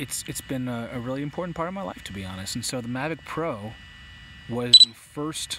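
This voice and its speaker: A man's medium-pitched voice at a fairly quick pace, lively in intonation, over noticeable background noise. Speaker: drone YouTuber. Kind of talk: live stream chat. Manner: halting.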